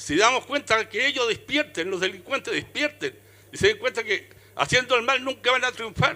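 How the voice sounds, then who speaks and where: A man's raised, projected voice sits at an extremely high pitch, bright and sharp in tone, with lively intonation at a moderate pace. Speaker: audience member. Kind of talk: audience comment. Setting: book fair with live audience. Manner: with conviction.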